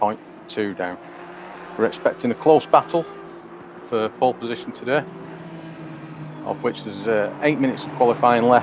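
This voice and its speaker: With an English accent and a medium pitch, a man speaks at a moderate pace, his loudness swinging widely and his long pauses coming often, while noticeable background noise runs behind him. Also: ordinary pitch variation. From England. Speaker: sim racing commentator. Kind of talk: live commentary. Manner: hesitant, many fillers.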